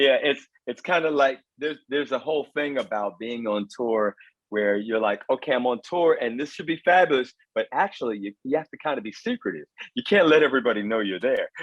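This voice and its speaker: A normal speaking voice with an American accent, lively intonation and a fairly quick pace. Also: man, medium pitch for a man. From London, then raised in the US from age five or six. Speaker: vocal coach. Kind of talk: interview.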